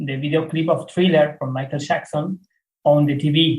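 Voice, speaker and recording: The man has a fairly high pitch and a somewhat breathy voice. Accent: non-native. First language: not English. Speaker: music producer and DJ. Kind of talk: interview. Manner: halting, many fillers.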